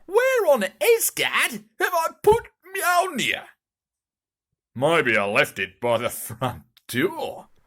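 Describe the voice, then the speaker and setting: The speaker uses a put-on character voice at a very slow pace. Long, frequent pauses break up the speech. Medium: audio drama. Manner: blustering, self-important.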